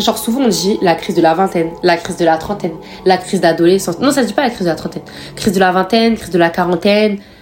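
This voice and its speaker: Over music in the background, a woman talks at a very fast pace with a medium pitch. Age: 20s. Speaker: podcaster. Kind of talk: casual monologue. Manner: casual, hesitant with fillers.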